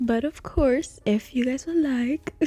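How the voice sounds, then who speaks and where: Soft-spoken and dark, mellow in tone, a woman speaks at a moderate pace in a dry, close sound with no echo. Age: 20s. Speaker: podcast host. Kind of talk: casual solo podcast talk.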